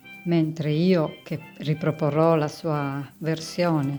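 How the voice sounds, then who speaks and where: A woman's very deep, low voice at a very slow pace, with fairly even intonation and music in the background. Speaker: home cook and food blogger. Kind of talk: cooking video voice-over narration.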